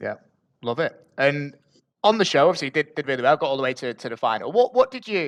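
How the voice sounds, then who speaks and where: A man with a northern English accent talks at a very fast pace, his fairly high voice carrying lively intonation. The sound is dry and close with no echo, over a quiet background. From northern England, Bury. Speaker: podcast host. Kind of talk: podcast interview.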